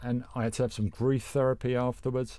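A man speaks with a dark, mellow tone at a medium pitch and a moderate pace. The recording is very clean, with a silent background. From London. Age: middle-aged. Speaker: podcast co-host. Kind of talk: casual chat.

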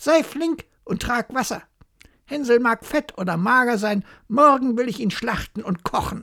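A female-sounding, put-on character voice at a high pitch, on a very clean recording with a silent background. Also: moderate pace. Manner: impatient, commanding.

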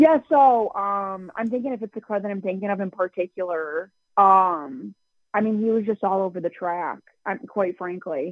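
The pace is moderate. The woman's voice sits at a medium pitch. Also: ordinary pitch variation. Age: 20s. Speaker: sprint car driver. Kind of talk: interview. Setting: phone call.

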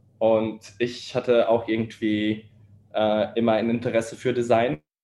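The tone is dark and mellow. The delivery comes at a very slow pace. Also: man. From Austria and Poland (Vienna). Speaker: startup co-founder. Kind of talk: interview. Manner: halting, many fillers.

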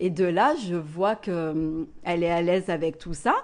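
A woman with an ordinary speaking voice talks in a fairly low pitch at a fairly slow pace. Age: 20s. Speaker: therapist. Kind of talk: casual interview testimony.

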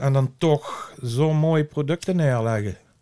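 A man's plain, everyday voice at a fairly high pitch, with ordinary pitch variation and a fairly slow pace. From Dutch Limburg. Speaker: cannabis grower. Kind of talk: casual interview. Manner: blunt, outspoken.

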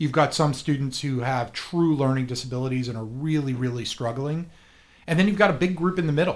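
This man has an ordinary speaking voice, pitched fairly high. His pitch varies in an ordinary way. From South Florida. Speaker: learning center owner. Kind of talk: radio interview.

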